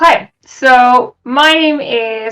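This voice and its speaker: This is a woman speaking with a Welsh accent. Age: 20s. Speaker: streamer. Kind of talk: interview.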